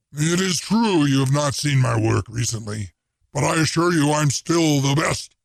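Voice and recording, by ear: Using a growling, put-on character voice, a man speaks at a moderate pace with a fairly high pitch and lively intonation.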